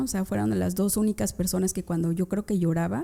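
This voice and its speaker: With a medium pitch, a woman talks in a dark, mellow tone. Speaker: criminal lawyer, former public prosecutor. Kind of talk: interview.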